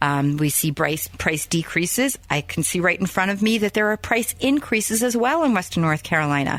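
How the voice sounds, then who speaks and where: A woman at medium pitch speaks at a fairly quick pace with hardly any pauses, very even loudness and very wide pitch swings. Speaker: radio show host and realtor. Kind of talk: radio show monologue. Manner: fast.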